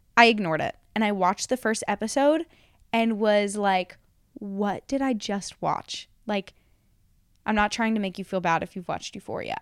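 At a moderate pace, a woman with an ordinary speaking voice uses a medium pitch and ordinary pitch variation. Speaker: podcast host. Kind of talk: casual chat.

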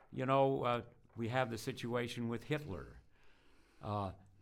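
At a moderate pace, a man speaks with vocal fry in a medium pitch. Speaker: podcast host. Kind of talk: interview.

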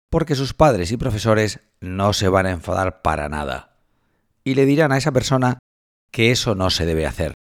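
This man's voice sits fairly low and swings very widely in pitch. He speaks at a moderate pace. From Spain, Cartagena (Murcia). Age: 40s. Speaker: journalism professor. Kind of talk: scripted narration.

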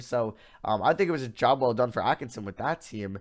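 With an American accent, a man speaks at a moderate pace in a medium pitch. He has a plain, everyday voice, and the background is quiet. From Long Island, New York. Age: 20s. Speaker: college student podcaster. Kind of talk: casual sports commentary monologue. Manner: casual with many fillers.

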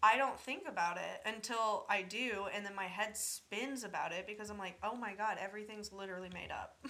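A woman with a normal speaking voice and a medium pitch talks at a fairly quick pace with hardly any pauses. Her intonation stays fairly even. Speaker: college student. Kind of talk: casual chat.

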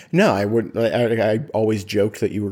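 On a very clean recording with a silent background, a man with an unremarkable speaking voice and fairly low pitch talks at a moderate pace. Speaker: guest, host's husband. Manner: joking, playful.

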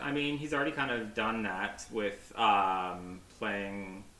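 With noticeable background noise behind him, a man speaks at a fairly slow pace with lively intonation and hardly any pauses. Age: 30s. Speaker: archery retail worker and podcast guest. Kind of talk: casual chat.

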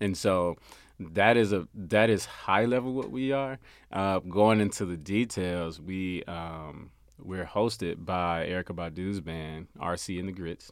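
A man's very deep, low voice in an American accent, fairly slow, with ordinary pitch variation, on a very clean recording with a silent background. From US South, Memphis, Tennessee. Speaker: business owner and creative. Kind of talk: casual interview. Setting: studio.

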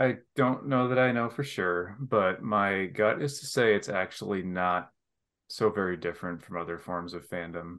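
A man with an American accent has an unremarkable speaking voice, fairly low in pitch. He goes at a moderate pace with ordinary pitch variation against a quiet background. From Michigan. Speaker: academic, hockey fan. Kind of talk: casual chat.

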